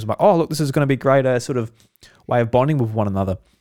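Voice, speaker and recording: The speaker is a man with an Australian accent and ordinary pitch variation. The recording is very clean, with a silent background. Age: 20s. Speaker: podcast host. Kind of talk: casual chat. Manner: animated.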